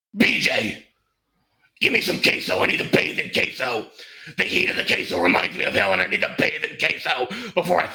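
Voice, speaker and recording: Doing a put-on, menacing character voice, a man rasps at a medium pitch and a fairly quick pace, with very wide pitch swings and long, frequent pauses. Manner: menacing, comic.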